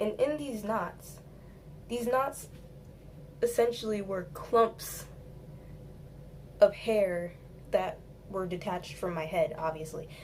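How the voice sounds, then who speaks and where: Speaking at a very slow pace with long, frequent pauses, this somewhat breathy voice has lively intonation and big swings in loudness, with audible room echo around it. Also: woman, medium pitch for a woman. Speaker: beauty vlogger. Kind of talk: storytime hair tutorial. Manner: casual.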